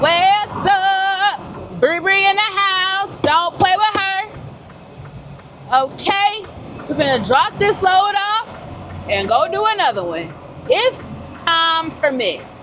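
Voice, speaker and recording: A woman speaks loudly at an extremely high pitch, with ordinary pitch variation, very slowly and with long, frequent pauses. Noticeable background noise runs behind her. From Georgia, US South. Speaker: truck driver vlogger. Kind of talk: casual vlog talk to camera. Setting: in a truck cab.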